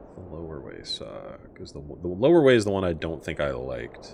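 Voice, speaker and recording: The delivery moves at a moderate pace. Noticeable background noise is present. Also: man. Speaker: streamer playing video games. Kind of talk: live gameplay commentary. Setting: live stream. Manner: casual, mumbling to himself at times.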